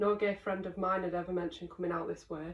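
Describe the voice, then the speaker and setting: A woman with a Lancashire accent, medium pitch and fairly even intonation. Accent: Darwen, Lancashire. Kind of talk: short story reading.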